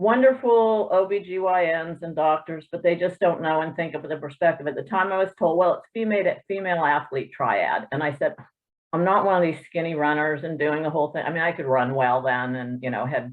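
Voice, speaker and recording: This woman has an ordinary speaking voice, fairly low in pitch, with lively intonation and a fairly quick pace. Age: 60s. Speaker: triathlete webinar participant. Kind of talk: personal testimony. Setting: video call.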